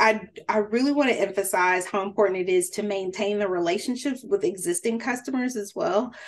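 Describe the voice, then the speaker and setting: A woman at a medium pitch, with ordinary pitch variation and a fairly quick pace. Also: hardly any pauses. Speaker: food business coach. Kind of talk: webinar presentation. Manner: fast.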